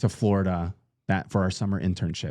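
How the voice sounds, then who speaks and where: Set against a silent background in a very clean recording, a man speaks in a fairly low, dark and mellow voice. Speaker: wedding podcast co-host. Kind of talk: casual chat.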